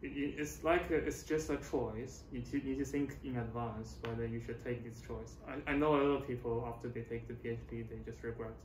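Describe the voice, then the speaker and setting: A man with a Chinese accent talks at a moderate pace with hardly any pauses. Audible room echo and light background noise can be heard. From China. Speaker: postdoctoral researcher. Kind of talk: interview. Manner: halting. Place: office. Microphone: camera far.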